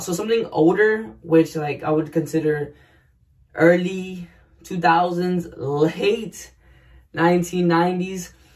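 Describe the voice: With audible room echo, a man talks in a fairly high pitch and fairly even intonation.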